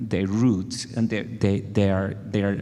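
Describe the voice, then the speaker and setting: A man with a Spanish accent. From Venezuela. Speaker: music educator. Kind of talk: panel discussion.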